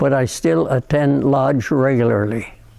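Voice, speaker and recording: Using ordinary pitch variation, a man talks at a fairly slow pace with a fairly high pitch and a dark, mellow tone. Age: 80s+. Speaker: retired freemason. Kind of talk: personal testimony, partly read from prepared text.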